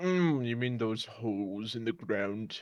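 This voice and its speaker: Here a man performs a put-on character voice at a medium pitch. He keeps a fairly slow pace. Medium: actual play. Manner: cranky, condescending.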